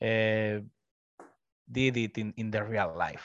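Here a man speaks with a Spanish accent. The background is quiet and the sound is dry and close, with no echo. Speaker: business development representative for a tech platform. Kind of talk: webinar presentation. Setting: video call.

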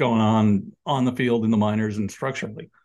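A man with an ordinary speaking voice talks at a moderate pace and a medium pitch. The background is quiet. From New York area. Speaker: sports graphic designer and author. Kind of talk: casual interview.

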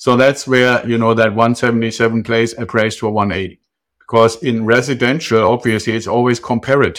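In a German accent, a man speaks at a medium pitch and a fairly quick pace with monotone, flat intonation. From Germany. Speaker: real estate investor. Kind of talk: interview. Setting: remote call.

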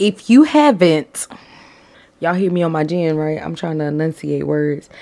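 A woman with ordinary pitch variation. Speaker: podcast co-host. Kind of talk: casual chat. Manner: animated.

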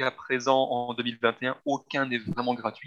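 A man's medium-pitched voice, bright and sharp in tone, with a dry, close sound and no echo. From Belgium. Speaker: travel agency team lead. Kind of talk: interview.

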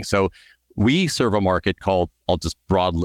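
A man with a Californian accent speaks in a very deep, low pitch. His intonation is lively, and the recording is very clean with a silent background. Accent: General American (Californian). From US, Southern California. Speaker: startup founder and CEO. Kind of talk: interview.

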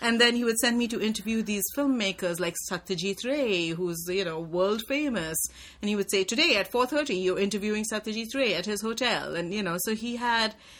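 A woman at a moderate pace and medium pitch, ordinary pitch variation, noticeable background noise. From India. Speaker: journalism professor and writer. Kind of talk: interview. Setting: office.

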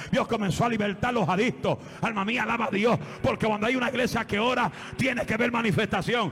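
With noticeable background noise behind him, a man speaks at a fairly quick pace in an animated tone, his high pitch showing ordinary variation and his loudness very even. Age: 40s. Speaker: guest preacher. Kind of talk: sermon. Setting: church with congregation.

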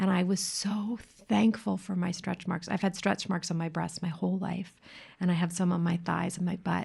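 A woman's fairly low pitch with vocal fry, moderate pace and fairly even intonation. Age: 40s. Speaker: podcast host, self-love coach. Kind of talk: casual interview chat.

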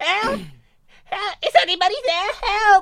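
A put-on character voice with an extremely high pitch moves along at a fairly slow pace.

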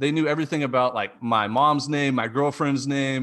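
A man with an unremarkable speaking voice and medium pitch talks at a moderate pace on a very clean recording with a silent background. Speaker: college baseball podcast host. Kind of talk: casual interview chat.

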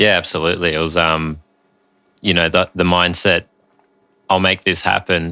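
A man with an Australian accent speaks at a moderate pace in a very deep, low voice, his bright, sharp tone flat and monotone in a dry, close recording with no echo that is very clean against a silent background. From Australia, Sydney. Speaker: developmental coach and meditation teacher. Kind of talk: casual chat.

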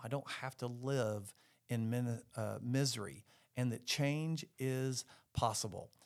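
The voice belongs to a man. His pitch is medium. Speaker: podcast host. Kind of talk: casual faith conversation. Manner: loud; animated.

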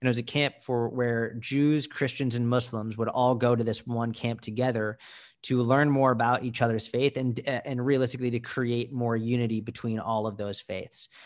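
Over a very clean recording and silent background, a man speaks at a moderate pace and medium pitch, monotone and flat, with hardly any pauses. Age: 20s. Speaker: motivational speaker and coach. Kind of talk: casual interview.

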